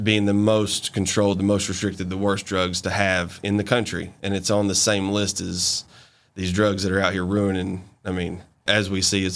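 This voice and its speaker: A man with a Southern US accent speaks at a fairly quick pace in a very deep, low voice. His intonation is monotone and flat, in a very clean recording with a silent background. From US South, Montgomery, Alabama. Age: young. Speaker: hemp business owner. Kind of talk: interview.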